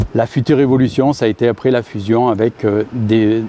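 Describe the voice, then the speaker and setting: A man talks with fairly even intonation at a moderate pace, with noticeable background noise around him. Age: 60s. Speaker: farm machinery dealer executive. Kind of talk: interview. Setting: on-site at company building. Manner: halting, many hesitations.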